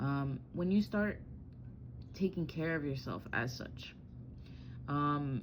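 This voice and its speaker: A woman's very deep, low voice with ordinary pitch variation and audible room echo. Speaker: tarot reader. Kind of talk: tarot reading. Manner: casual, halting with fillers.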